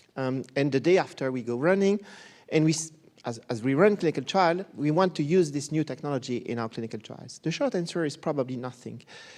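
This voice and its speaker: Against a quiet background, a man with a fairly high pitch speaks at a fairly quick pace with ordinary pitch variation. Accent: Belgian. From Belgium. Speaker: professor of pediatric neurology. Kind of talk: conference talk. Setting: conference stage with audience.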